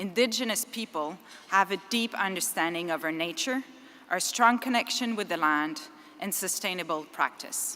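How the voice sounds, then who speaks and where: A woman's medium-pitched voice in a Quebec accent, with ordinary pitch variation and a moderate pace. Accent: French Canadian accent in English. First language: French. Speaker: engineering firm executive, conference speaker. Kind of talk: conference speech. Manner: halting, with self-corrections.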